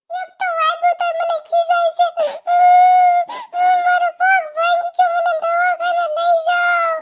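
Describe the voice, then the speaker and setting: Using a cartoonish character voice at an extremely high pitch, a woman speaks at a fairly slow pace with monotone, flat intonation. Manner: loud, fretful.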